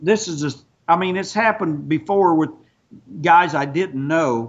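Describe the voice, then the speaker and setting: A man with a plain, everyday voice speaks at a fairly slow pace and a fairly high pitch. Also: ordinary pitch variation. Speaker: professional wrestler. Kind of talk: angry phone call. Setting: phone line. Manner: angry, confrontational.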